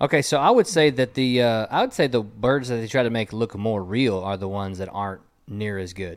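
With an American accent, a man in an ordinary speaking voice talks at a fairly quick pace with hardly any pauses, using a medium pitch and ordinary pitch variation. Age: 30s. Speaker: podcast host. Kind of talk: casual chat. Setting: studio.

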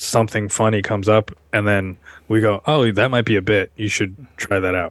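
In an American accent, a man with a fairly low pitch talks at a moderate pace. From Seattle, US Pacific Northwest. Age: 30s. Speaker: stand-up comedian. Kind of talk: casual interview chat.

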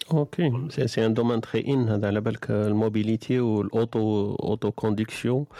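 At a moderate pace and with hardly any pauses, a man speaks in a medium pitch at very even loudness. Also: fairly even intonation, dry, close sound with no echo. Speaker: podcast host. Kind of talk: casual group chat. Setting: online audio room.

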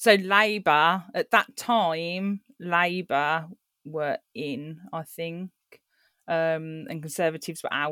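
In a Birmingham accent, the voice comes out very slowly with a bright, sharp tone and ordinary pitch variation, recorded dry and close with no echo on a very clean recording with a silent background. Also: woman, fairly low pitch for a woman, big swings in loudness. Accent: Birmingham (Brummie). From Birmingham, England. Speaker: book club host. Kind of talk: casual chat over drinks.

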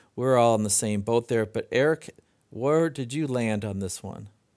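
On a very clean recording with a silent background, a man with an ordinary speaking voice talks at a medium pitch with ordinary pitch variation. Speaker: podcast host. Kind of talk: casual chat.

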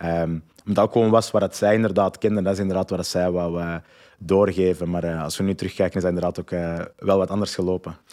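In a very clean recording with a silent background, a man with a Flemish accent speaks very fast in a flat monotone with a very deep, low pitch. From Flanders, Belgium (Antwerp). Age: 30s. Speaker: entrepreneur and parenting coach. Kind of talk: interview. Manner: hesitant, many fillers and repetitions.

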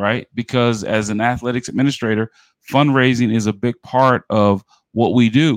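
A man with an ordinary speaking voice and an American accent speaks at a moderate pace, with a medium pitch and fairly even intonation, in a dry, close sound with no echo. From New York City (Bronx). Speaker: podcast host and athletics administrator. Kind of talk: interview.

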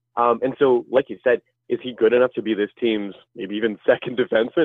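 A man with a Canadian accent, medium pitch, a fairly quick pace, and an ordinary speaking voice. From Canada, Ottawa area. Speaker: hockey analytics writer. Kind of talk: casual chat.

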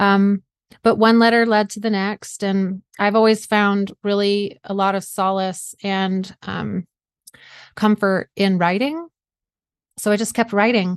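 Against a quiet background comes a plain, everyday voice. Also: woman, medium pitch for a woman, fairly even intonation, fairly slow pace, dry, close sound with no echo. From US South (South Georgia). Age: 40s. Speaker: author and mindset coach, cancer survivor. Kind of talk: interview.

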